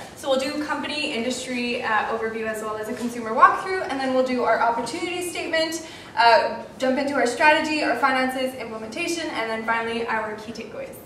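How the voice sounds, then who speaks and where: A woman's high voice at a very fast pace with hardly any pauses, ordinary pitch variation, audible room echo and light background noise. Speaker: student presenter at a marketing case competition; presenter. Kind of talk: case competition presentation. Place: classroom. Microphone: camera far.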